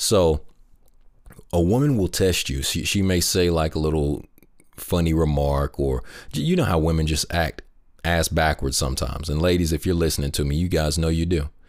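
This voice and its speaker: Speaking at a moderate pace, a man uses a very deep, low pitch, fairly even intonation and very even loudness. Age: 20s. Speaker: podcast host and military veteran. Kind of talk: solo monologue podcast. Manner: repetitive, stumbling restarts.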